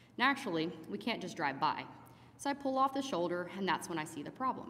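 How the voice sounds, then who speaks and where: A woman speaks at a medium pitch and a fairly quick pace. Her pitch swings very widely. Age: 40s. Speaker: paramedic. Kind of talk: memorial eulogy speech. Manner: reading from notes.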